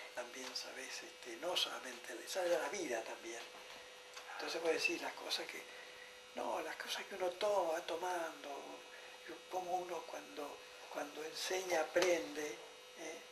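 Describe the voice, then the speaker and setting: Speaking at a fairly slow pace with long, frequent pauses, a man with a high pitch and a Rioplatense accent uses ordinary pitch variation, with audible room echo and noticeable background noise. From Argentina, Buenos Aires province. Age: 80s+. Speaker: psychoanalyst. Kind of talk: conversation on a stage. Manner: halting, many fillers.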